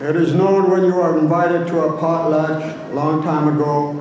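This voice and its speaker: A man speaks at a fairly slow pace in a flat monotone. Strong room echo surrounds him, with light background noise. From Alaska. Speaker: dance group spokesman and storyteller. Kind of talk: oral storytelling at a cultural performance. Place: stage.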